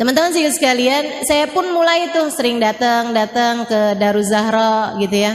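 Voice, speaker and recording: Lively intonation at a fairly slow pace, with audible room echo and noticeable background noise. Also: woman. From Indonesia. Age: 40s. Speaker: Islamic preacher. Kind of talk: religious talk. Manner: casual conversational.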